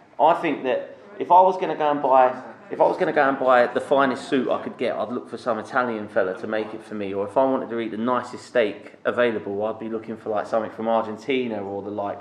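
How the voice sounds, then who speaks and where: Talking very fast at a medium pitch, a man varies his pitch in an ordinary way as noticeable background noise carries on. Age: 40s. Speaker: golf club member. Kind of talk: casual chat. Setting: golf club.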